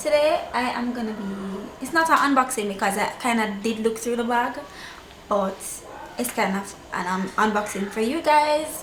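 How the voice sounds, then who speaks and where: There is noticeable background noise. A woman speaks in a fairly high pitch with ordinary pitch variation. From Jamaica. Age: 20s. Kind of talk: casual talk to camera.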